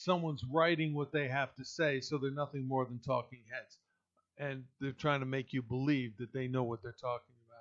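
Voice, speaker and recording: Using an ordinary speaking voice, a man with an American accent talks in a fairly high pitch with fairly even intonation and big swings in loudness. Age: 60s. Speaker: pastor and political podcaster. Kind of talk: political commentary monologue.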